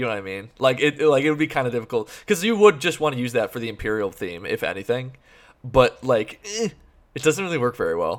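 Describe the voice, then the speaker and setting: Loud speech at a very fast pace with very wide pitch swings comes through on a very clean recording with a silent background. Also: man, medium pitch for a man. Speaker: podcast host. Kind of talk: casual chat.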